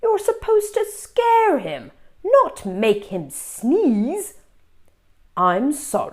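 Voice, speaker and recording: A woman's put-on character voice, extremely high-pitched, at a very slow pace. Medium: read story. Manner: formal, instructive.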